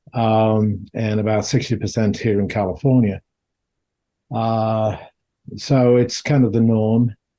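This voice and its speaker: The voice has a dark, mellow tone and fairly even intonation, moving at a fairly slow pace with long, frequent pauses. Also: man, medium pitch for a man. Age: 70s. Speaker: dental public health professor. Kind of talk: lecture. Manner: halting, many fillers.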